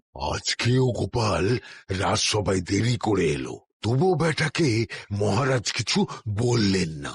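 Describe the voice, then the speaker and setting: A cartoonish character voice delivered at a fairly slow pace. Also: man, medium pitch for a man. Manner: grumbling.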